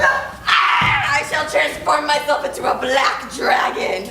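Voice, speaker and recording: A high-pitched, put-on character voice speaks at a fairly slow pace through a clear echo and loud background noise. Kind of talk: comic overacting. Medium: stage play.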